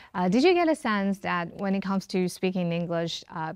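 The woman's voice shows ordinary pitch variation, and the background is quiet. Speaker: talk show host. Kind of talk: interview host questions. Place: studio. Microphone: lapel.

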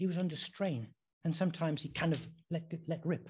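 At a moderate pace and in an English accent, the voice comes over a quiet background. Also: man. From England. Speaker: preacher. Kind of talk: sermon. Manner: halting.

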